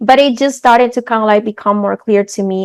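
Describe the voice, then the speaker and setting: A woman's medium-pitched voice with a Spanish accent, fairly quick pace, fairly even intonation and a dry, close sound with no echo. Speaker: coach for mothers. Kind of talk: interview.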